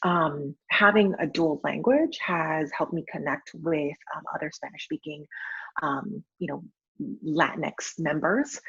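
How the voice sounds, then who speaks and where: A woman with an American accent, very deep and low in pitch, fairly slow, in a dry, close sound with no echo. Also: ordinary pitch variation. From San Francisco Bay Area, California. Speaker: account manager and wedding photographer. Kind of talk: personal testimony in a panel interview. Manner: many filler ums.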